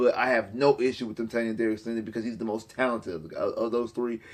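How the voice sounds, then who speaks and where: Words come out at a very fast pace. The accent is American. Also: man. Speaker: sports YouTuber. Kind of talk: sports commentary monologue. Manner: animated; repetitive, stammering fillers.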